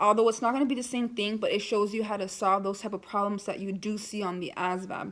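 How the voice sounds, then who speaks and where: A woman at medium pitch, very fast, with hardly any pauses and fairly even intonation. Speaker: military applicant vlogger. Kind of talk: casual vlog advice. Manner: hesitant, many fillers.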